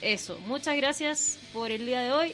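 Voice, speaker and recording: A woman's high voice, its pitch varying in an ordinary way, moves at a moderate speed against noticeable background noise. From northern Chile, Chuquicamata. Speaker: radio host. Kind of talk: casual radio chat.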